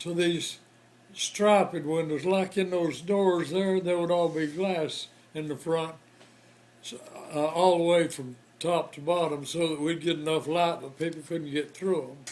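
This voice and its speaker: Over noticeable background noise, a man with an American accent speaks at a high pitch with fairly even intonation, big swings in loudness, and long, frequent pauses. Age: 80s+. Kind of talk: interview answer. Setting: hospital room.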